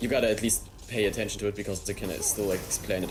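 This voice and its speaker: A man with a German accent is heard through audible room echo and noticeable background noise. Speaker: gamer. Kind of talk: casual chat. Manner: halting.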